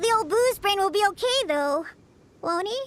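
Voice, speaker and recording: An extremely high-pitched cartoonish character voice delivers its lines at a moderate tempo. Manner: excitable, shrill.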